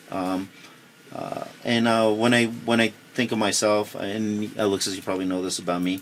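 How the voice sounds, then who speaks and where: With noticeable background noise behind him, a man speaks at a moderate pace in a fairly low pitch and a monotone, flat intonation. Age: 40s. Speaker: mortgage lender. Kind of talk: casual chat. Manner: halting, many fillers.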